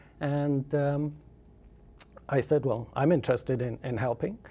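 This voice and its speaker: This man has an English accent. His voice sounds dark and mellow. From southern England. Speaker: solar energy expert. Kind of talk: interview. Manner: hesitant, many fillers.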